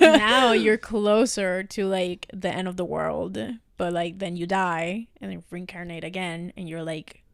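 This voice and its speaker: With a Spanish accent, a woman speaks fairly slowly at a fairly low pitch, showing ordinary pitch variation and big swings in loudness. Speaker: podcast co-host. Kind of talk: casual chat.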